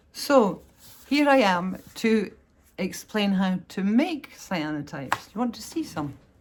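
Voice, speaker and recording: A woman speaks at a medium pitch with a Scottish accent. Her pitch swings very widely, and her pace is fairly slow. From Scotland. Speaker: artist. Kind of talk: tutorial. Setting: home art studio. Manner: casual, chatty with hesitations.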